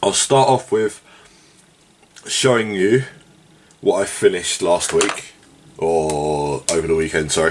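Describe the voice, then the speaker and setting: Over noticeable background noise, a man speaks at a very slow pace with very wide pitch swings. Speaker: tabletop wargaming hobbyist vlogger. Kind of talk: casual monologue while painting. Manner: casual, rambling with fillers.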